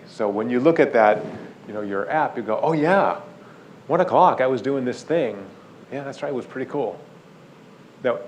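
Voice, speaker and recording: A man's medium-pitched voice, fairly quick in pace and lively in intonation, with audible room echo. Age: 60s. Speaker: neuroscientist. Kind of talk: lecture. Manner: animated.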